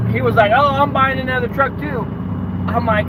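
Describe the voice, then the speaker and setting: A man talks at a moderate pace in a room with audible echo, and noticeable background noise is present too. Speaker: dump truck business owner and vlogger. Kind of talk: casual live stream monologue. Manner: loud.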